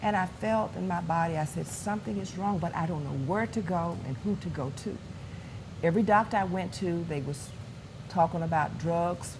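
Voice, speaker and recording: A woman with fairly low pitch and vocal fry speaks at a moderate pace with ordinary pitch variation, and audible room echo. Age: 60s. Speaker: pastor. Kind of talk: testimony.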